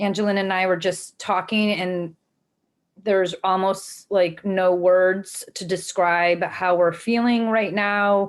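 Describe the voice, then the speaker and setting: A flat, monotone delivery at a very slow pace, with an American accent, on a very clean recording with a silent background. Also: woman, medium pitch for a woman. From US Midwest, Cleveland, Ohio. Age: 40s. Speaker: nonprofit executive director. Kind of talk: interview talk. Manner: frequent fillers (um).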